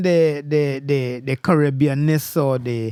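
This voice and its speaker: Speaking at a very slow pace, a man has a Trinidadian accent. The recording is very clean, with a silent background. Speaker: music show host. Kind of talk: interview conversation. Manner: hesitant, many fillers.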